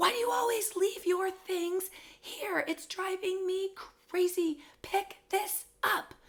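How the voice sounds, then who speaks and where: A woman uses a put-on character voice, squeaky and extremely high-pitched. She speaks at a fairly slow pace with fairly even intonation. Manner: angry, exasperated, emphatic.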